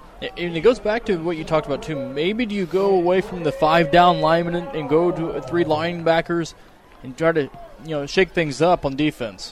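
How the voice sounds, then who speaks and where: A man's high-pitched voice has a relaxed tone, with noticeable background noise behind it. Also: ordinary pitch variation, moderate pace. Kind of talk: color commentary, analyzing plays. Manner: conversational, explanatory, relaxed analyst.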